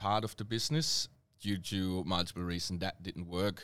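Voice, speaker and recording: With a German accent, a man speaks at a moderate pace in a fairly low pitch. The recording is very clean, with a silent background. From Germany. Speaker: hospitality manager. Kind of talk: casual interview. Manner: hesitant, frequent fillers.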